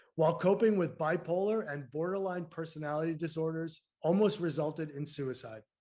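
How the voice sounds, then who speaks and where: Here a man with a Massachusetts accent talks at a fairly quick pace with hardly any pauses. His voice is fairly high with a dark, mellow tone. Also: ordinary pitch variation. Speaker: podcast co-host. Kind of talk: casual interview chat; reading a guest introduction.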